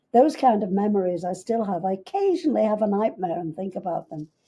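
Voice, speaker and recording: The tone is dark and mellow. It comes across somewhat breathy. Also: woman. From England, Liverpool. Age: 90s. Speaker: businesswoman, Beatle's stepmother. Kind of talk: interview, storytelling.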